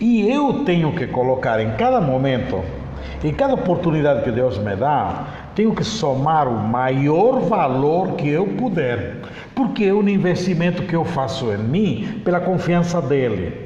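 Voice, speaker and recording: Audible room echo and noticeable background noise surround a man who talks at a fairly slow pace with very wide pitch swings. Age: 60s. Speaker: mediator and conciliator, spiritist speaker. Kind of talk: interview on spirituality.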